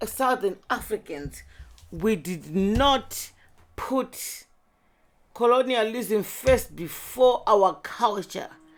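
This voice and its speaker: Here a woman speaks at a fairly high pitch with vocal fry. Her intonation is lively, and her pace is very slow. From Zimbabwe. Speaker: podcast host. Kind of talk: casual chat. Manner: animated.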